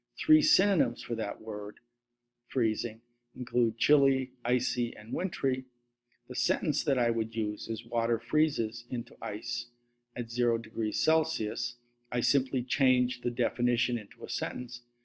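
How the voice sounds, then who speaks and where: A medium-pitched male voice over music in the background. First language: Latvian. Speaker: science teacher. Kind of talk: instructional lecture.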